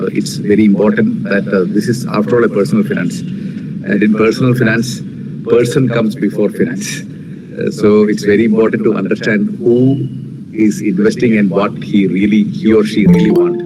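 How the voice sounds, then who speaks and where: Amid noticeable background noise and audible room echo, a man with a Kerala Indian accent speaks at a moderate pace and medium pitch, with very wide pitch swings and very even loudness. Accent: Malayali Indian English. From India, Kerala (Kodungallur). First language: Malayalam. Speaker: finance company CEO and financial educator. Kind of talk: webinar talk. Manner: many filler words, halting.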